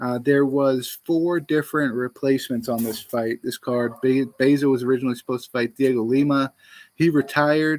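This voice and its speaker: In a very clean recording with a silent background and a dry, close sound with no echo, a man of medium pitch talks at a moderate pace with fairly even intonation. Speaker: MMA podcast host. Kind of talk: fight preview show. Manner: halting, many fillers and restarts; casual.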